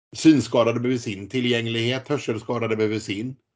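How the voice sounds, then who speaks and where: In an unremarkable speaking voice, a man talks at a fairly quick pace and a medium pitch. His intonation is fairly even, and the background is quiet. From Sweden, Gothenburg. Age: 40s. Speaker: politician and former para swimmer. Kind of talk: interview.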